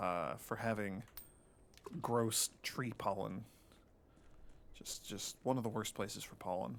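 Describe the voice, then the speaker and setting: A man with vocal fry and a fairly low pitch speaks at a fairly slow pace. His intonation is fairly even, and he leaves long, frequent pauses. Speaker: video game streamer. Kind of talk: gameplay commentary. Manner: casual, halting with fillers.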